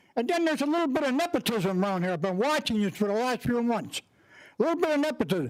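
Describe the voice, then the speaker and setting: A man talks at a very fast pace in an animated tone. He has an American accent. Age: 80s+. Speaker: resident speaking at public comment. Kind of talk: public comment at county meeting.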